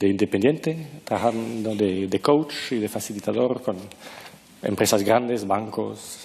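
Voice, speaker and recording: Noticeable background noise surrounds a man with a non-native accent. He speaks at a very slow pace in a fairly low pitch. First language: not Spanish (speaking Spanish). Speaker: author and former management consultant. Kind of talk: interview. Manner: halting, searching for words.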